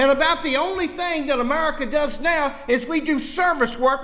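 A raised, projected voice with a warm tone and a Southern US accent moves at a moderate pace. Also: man. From US South. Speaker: political rally speaker. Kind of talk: fiery political rally speech laced with preaching. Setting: church with live audience. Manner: punchy, emphatic repetition building indignation; folksy joking to warm the crowd. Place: church. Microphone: podium.

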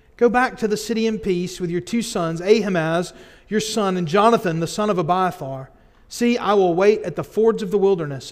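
A man's high-pitched voice at a moderate pace, with ordinary pitch variation and a quiet background. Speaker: pastor. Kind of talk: scripture reading in a sermon. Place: church. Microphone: podium.

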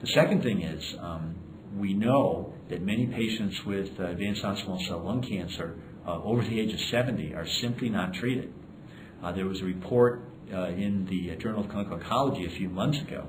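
Speaking at a fairly quick pace, a man uses a fairly low pitch with ordinary pitch variation. Background noise is noticeable. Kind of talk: interview answer. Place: hall.

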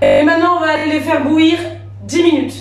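With clear music in the background and audible room echo, a woman speaks at a moderate pace in a high pitch with monotone, flat intonation. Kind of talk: casual cooking tutorial. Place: kitchen. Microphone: camera far.

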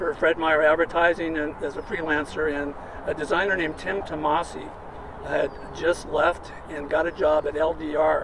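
With clear background noise, a man speaks at a moderate pace and a fairly high pitch, his pitch moving little.

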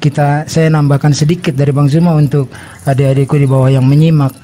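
Over noticeable background noise, a man with a fairly high pitch speaks with fairly even intonation. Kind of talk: debate.

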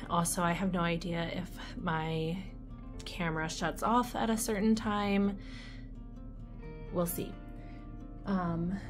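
A woman speaks at a very slow pace in a fairly low voice. Clear music plays in the background. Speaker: candle wax reviewer. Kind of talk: casual vlog chat. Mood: light, slightly unsure. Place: home room. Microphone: phone near.

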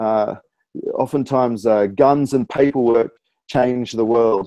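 A man with an Australian accent speaks at a fairly slow pace with fairly even intonation. The sound is dry with no echo, over a quiet background. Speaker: spoken word poet, author and rapper. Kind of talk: interview answer. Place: home room. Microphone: earbuds.

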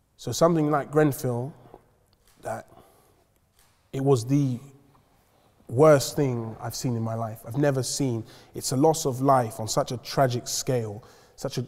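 In a London accent, a man with a dark, mellow tone speaks with fairly even intonation over a quiet background. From west London (North Kensington). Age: 20s. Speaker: community activist. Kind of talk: panel discussion. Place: hall.

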